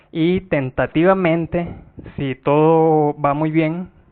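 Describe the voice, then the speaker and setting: This man's voice sits at a fairly high pitch, with fairly even intonation. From Nicaragua. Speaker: software developer and database speaker. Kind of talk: conference tech talk. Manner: hesitant, many filler sounds.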